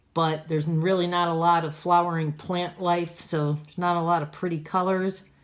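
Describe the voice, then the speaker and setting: At a moderate pace, a woman speaks in a plain, everyday voice. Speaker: art teacher. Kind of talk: tutorial.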